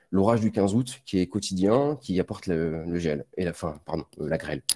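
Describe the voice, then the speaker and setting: Dark and mellow in tone, a man's very deep, low voice moves at a fairly slow pace with ordinary pitch variation. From southern France, Var (Provence). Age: 30s. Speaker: winemaker, oenologist. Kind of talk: technical presentation. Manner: hesitant, many fillers.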